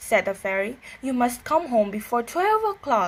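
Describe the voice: The passage is read aloud plainly.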